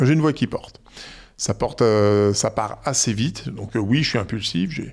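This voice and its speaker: A man at medium pitch and a fairly slow pace, with ordinary pitch variation. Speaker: entrepreneur. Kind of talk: interview. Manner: loud; hesitant, repeats words.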